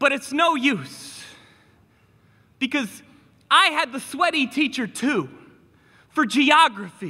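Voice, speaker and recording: A man's raised, projected voice at an extremely high pitch, fairly slow in pace, with lively intonation and an animated tone. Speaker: teacher and spoken word poet. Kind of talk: spoken word performance.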